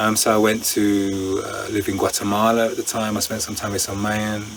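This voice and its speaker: Noticeable background noise runs through the clip. The speaker's intonation stays monotone and flat. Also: man. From England. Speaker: breathwork instructor. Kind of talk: interview answer.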